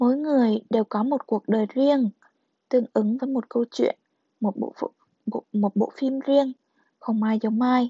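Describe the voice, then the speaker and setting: The speech moves at a fairly slow pace with long, frequent pauses and fairly even intonation. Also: woman, high pitch for a woman. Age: young. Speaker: podcast host. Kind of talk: reading aloud; casual monologue.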